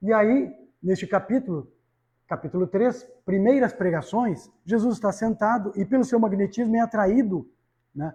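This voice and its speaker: The speaker goes at a fairly slow pace with long, frequent pauses and ordinary pitch variation. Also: man. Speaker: spiritist lecturer. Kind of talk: lecture. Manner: loud, raising voice when enthusiastic.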